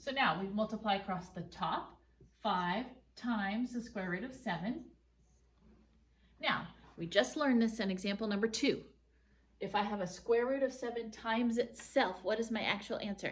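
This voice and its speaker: A woman with a fairly high, somewhat breathy voice talks at a moderate pace, with ordinary pitch variation and long, frequent pauses. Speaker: math teacher. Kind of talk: tutorial.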